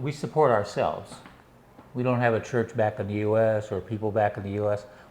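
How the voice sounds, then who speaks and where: The speaker has an American accent and talks at a fairly quick pace with ordinary pitch variation. Noticeable background noise is present. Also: man, fairly low pitch for a man. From US Northwest (Washington state). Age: 70s. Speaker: retiree. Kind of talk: interview.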